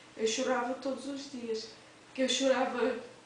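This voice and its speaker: A high-pitched female voice with audible room echo and noticeable background noise. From Cape Verde. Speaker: domestic worker. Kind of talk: testimony. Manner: halting, with repetitions and fillers.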